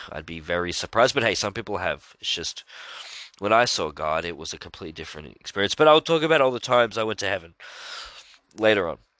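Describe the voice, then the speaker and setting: A man's fairly low, bright and sharp voice, animated and very fast, with very wide pitch swings, big swings in loudness, and a dry, close sound with no echo against a quiet background. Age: 20s. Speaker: religious podcaster. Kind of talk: solo religious monologue.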